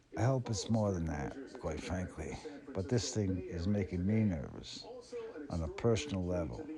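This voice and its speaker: Over noticeable background noise and audible room echo, a man with a very deep, low voice speaks at a moderate pace with lively intonation. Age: 70s. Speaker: spiritual channeler. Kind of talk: spiritual monologue.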